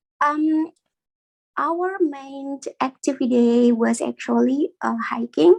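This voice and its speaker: Speech in an Indonesian accent moves at a very slow pace with ordinary pitch variation. The sound is dry and close, with no echo. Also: woman, high pitch for a woman. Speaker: community member. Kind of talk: casual chat. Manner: halting.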